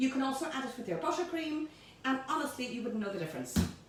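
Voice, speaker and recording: A woman with a high pitch and an animated tone speaks amid noticeable background noise and audible room echo. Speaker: home baking presenter. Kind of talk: cooking tutorial. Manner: high-pitched.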